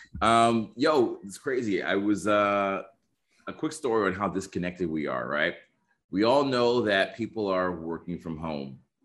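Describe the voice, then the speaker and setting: A man with an unremarkable speaking voice talks at a fairly slow pace, his fairly low pitch moving in a lively intonation against a quiet background. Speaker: social skills coach and dating expert. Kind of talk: casual interview chat.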